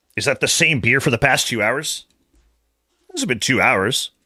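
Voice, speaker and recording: A man's bright, sharp tone at a moderate pace, on a very clean recording with a silent background. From Canada. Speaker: video game streamer. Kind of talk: casual live stream chat. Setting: livestream.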